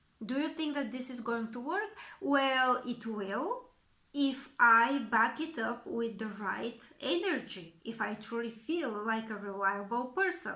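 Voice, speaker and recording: A woman speaks with a Bulgarian accent at a fairly slow pace. Her pitch is high and her tone bright and sharp. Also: lively intonation. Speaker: communication coach. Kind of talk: educational monologue.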